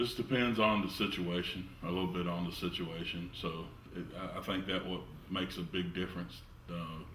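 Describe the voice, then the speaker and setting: With audible room echo, a man speaks at a moderate pace in a very deep, low pitch and fairly even intonation. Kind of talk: interview answers. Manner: soft-spoken; calm.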